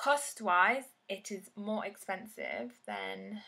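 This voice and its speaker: A woman is speaking here. She talks with a London accent. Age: 20s. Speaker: beauty vlogger. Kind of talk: casual vlog tutorial.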